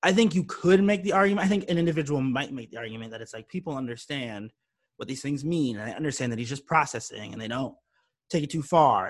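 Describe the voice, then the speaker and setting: A man with a plain, everyday voice talks in a fairly high pitch with lively intonation. The recording is very clean with a silent background. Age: 20s. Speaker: independent musician. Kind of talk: casual interview chat.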